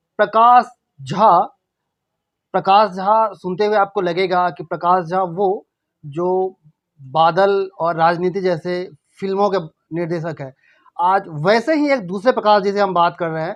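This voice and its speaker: The speaker has a Bihar accent and leaves long, frequent pauses. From Bihar, India. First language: Maithili (speaking Hindi). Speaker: interviewer. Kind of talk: interview.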